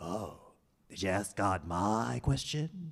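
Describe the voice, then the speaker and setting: A man speaks very slowly in a put-on character voice, his fairly low pitch swinging very widely. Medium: stage play.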